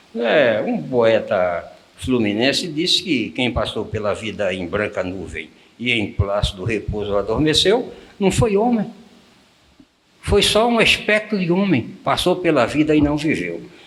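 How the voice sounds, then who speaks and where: A man's fairly high voice moves at a fairly slow pace with very wide pitch swings. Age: 90s. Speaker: freemason elder, guest interviewee. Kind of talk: interview. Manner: formal.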